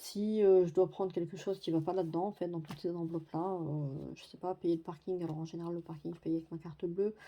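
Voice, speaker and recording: A woman's fairly low, dark, mellow voice at a very fast pace, in a flat monotone with big swings in loudness, over a quiet background. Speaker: budgeting vlogger. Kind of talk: budget tutorial. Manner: hesitant, many fillers.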